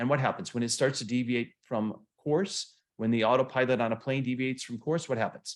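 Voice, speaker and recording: Speaking in an American accent, a man talks at a medium pitch. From US Midwest, Flint Michigan. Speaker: motivational coach. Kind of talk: online seminar lecture. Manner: fast; animated.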